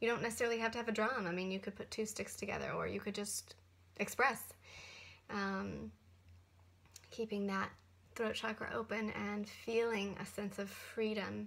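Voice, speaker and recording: Her intonation monotone and flat, a woman speaks with long, frequent pauses. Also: moderate pace. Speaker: spiritual teacher vlogger. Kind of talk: casual vlog chat. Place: office. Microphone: webcam.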